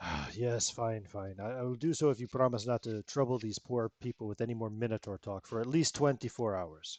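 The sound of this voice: An unforced reading voice carries the text.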